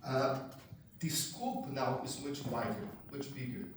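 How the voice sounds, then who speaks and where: A man talks with a Brazilian accent. Audible room echo and noticeable background noise surround him. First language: Portuguese. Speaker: macroeconomist, keynote speaker. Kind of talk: keynote talk. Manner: conversational, humorous.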